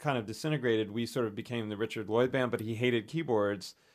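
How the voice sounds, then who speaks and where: A man with an American accent talks very fast at a medium pitch. The recording is very clean, with a silent background. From US South, western North Carolina. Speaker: composer. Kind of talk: casual chat. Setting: studio. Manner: halting.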